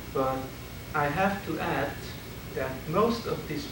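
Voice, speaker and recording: Talking at a very slow pace with a Hungarian accent and ordinary pitch variation, a man is heard through audible room echo and noticeable background noise. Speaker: philosophy professor. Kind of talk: lecture. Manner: halting.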